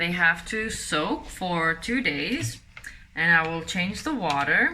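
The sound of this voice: A woman's voice is fairly low, with a bright, sharp tone and lively intonation. She speaks slowly, and the room echo is audible.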